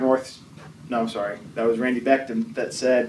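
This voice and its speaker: Over noticeable background noise, a man speaks at a medium pitch and a fairly quick pace. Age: 40s. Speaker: church class teacher. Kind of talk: lecture.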